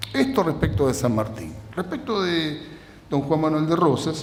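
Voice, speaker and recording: Over noticeable background noise and audible room echo, a man speaks at a fairly quick pace with lively intonation. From Argentina. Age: 60s. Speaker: lecturer. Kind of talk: lecture.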